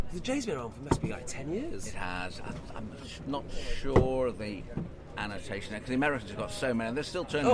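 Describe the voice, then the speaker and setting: Noticeable background noise under a man talking at a fairly quick pace. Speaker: ex-military pilot. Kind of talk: casual interview chat. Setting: outdoors at air show.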